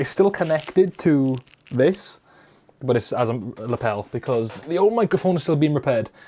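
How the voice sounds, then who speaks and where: A man speaks in a Welsh accent at a fairly quick pace. His tone is dark and mellow, with ordinary pitch variation. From Wales. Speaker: YouTuber. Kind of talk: live stream chat. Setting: live stream. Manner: casual. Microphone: lapel mic close to mouth.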